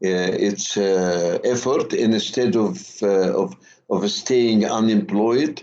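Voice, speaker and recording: A man speaks very slowly at a medium pitch, his tone dark and mellow, with ordinary pitch variation. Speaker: university lecturer. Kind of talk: lecture. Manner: slow, deliberate; halting, many fillers and repetitions.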